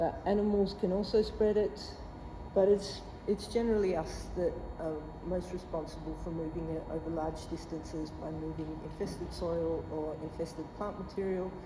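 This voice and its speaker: Speaking at a moderate pace, a woman with a fairly low pitch is heard amid audible room echo and noticeable background noise. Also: fairly even intonation. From southwest Australia. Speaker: plant pathologist, scientist. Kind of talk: lecture. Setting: presentation at meeting with audience.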